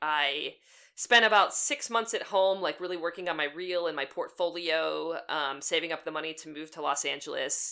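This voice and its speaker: A woman with a slight Pittsburgh accent speaks at a moderate pace, her fairly low pitch carrying a bright, sharp tone and ordinary pitch variation. The recording is very clean and the background silent. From Western Pennsylvania. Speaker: animator and storyboard artist. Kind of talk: casual interview chat.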